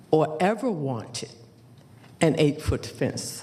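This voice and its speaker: A woman speaks with a very deep, low pitch and very wide pitch swings. Noticeable background noise runs behind her. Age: 70s. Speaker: applicant at a public hearing. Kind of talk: public hearing testimony. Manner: emphatic.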